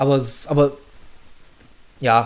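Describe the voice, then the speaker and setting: Fairly high in pitch, a man's voice comes across as somewhat breathy. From Saxony, eastern Germany (Bautzen). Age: 30s. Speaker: podcast host, hobby drummer. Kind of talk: casual chat.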